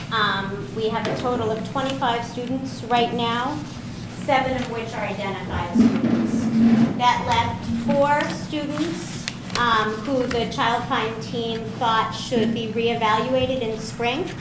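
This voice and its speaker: Speaking at a fairly slow pace, a woman with a fairly high pitch and ordinary pitch variation is heard over noticeable background noise and audible room echo. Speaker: special education director. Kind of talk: meeting presentation. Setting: school board meeting.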